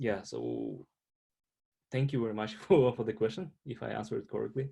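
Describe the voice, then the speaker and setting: Speaking in a strong Russian accent, a man leaves long, frequent pauses and makes big swings in loudness. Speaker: international student panelist. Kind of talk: panel discussion. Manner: halting, many fillers.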